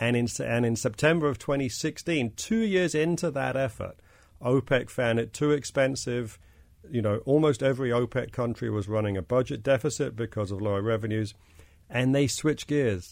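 A man with a British accent speaks at a moderate pace and medium pitch, with ordinary pitch variation, on a very clean recording with a silent background. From England, London. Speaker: investment fund manager. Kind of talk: panel discussion. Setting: studio.

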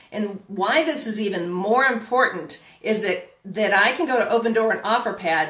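A woman's voice with very wide pitch swings and audible room echo. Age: 50s. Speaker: real estate coach. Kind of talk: live-streamed talk. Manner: hesitant, filler-heavy.

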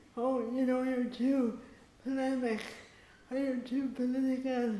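Her voice is high-pitched with a dark, mellow tone and monotone, flat intonation, and the woman's speech carries audible room echo. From Ireland. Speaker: playwright and activist. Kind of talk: panel discussion.

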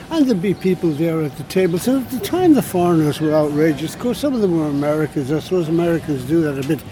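Over noticeable background noise, a man with a fairly high pitch and ordinary pitch variation speaks at a very fast pace with hardly any pauses. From Ireland. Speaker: writer. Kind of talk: casual chat. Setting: outdoors.

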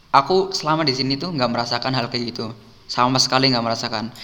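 The clip presents a plain, everyday voice with ordinary pitch variation. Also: man. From Indonesia. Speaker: university student abroad. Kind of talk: casual chat.

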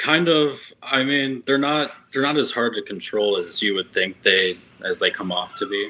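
Here is a man with an ordinary speaking voice. His pitch sits at a medium level, and he keeps a moderate pace with lively intonation. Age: 20s. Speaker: janitor. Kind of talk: casual chat.

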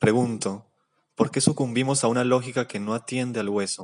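Against a quiet background, a man with a plain, everyday voice speaks with fairly even intonation. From Colombia, Cali. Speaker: poet. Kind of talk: poetry reading.

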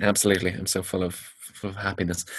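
A man speaks with a Limerick accent. His pace is very fast. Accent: Irish (Limerick). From Ireland, Limerick. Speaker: podcast host. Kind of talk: casual chat. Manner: upbeat, chipper.

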